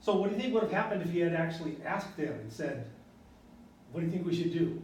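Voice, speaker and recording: With audible room echo, a man speaks at a very fast pace and a high pitch, his pitch varying in an ordinary way. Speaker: university lecturer. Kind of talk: lecture.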